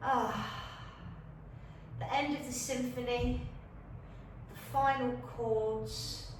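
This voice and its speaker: A woman with a Leicester accent speaks at a very slow pace with long, frequent pauses. The recording has audible room echo and noticeable background noise. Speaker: fitness and yoga instructor. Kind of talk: guided exercise tutorial. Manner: gentle, calm instructions.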